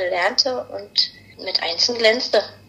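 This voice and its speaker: A woman's voice over noticeable background noise. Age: middle-aged. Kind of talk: casual chat.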